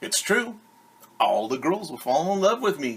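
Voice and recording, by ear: A man puts on a character voice, fairly high for a man and with a slightly husky edge. He talks at a fairly slow pace with big pitch swings.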